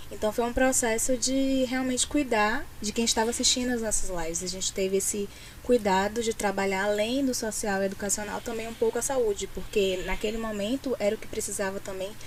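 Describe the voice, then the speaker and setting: A woman with an ordinary speaking voice talks at a fairly quick pace, her pitch fairly high and her intonation fairly even. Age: 20s. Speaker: social media coordinator. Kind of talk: interview.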